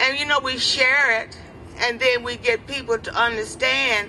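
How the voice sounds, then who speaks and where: A woman with a high-pitched voice speaks with music in the background. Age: 80s+. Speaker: community gardener. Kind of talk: press conference statement. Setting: press conference.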